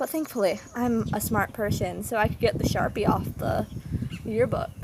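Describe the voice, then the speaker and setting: Over noticeable background noise, a woman with an American accent speaks fairly slowly at a fairly high pitch with ordinary pitch variation. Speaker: vlogger. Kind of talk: casual personal vlog.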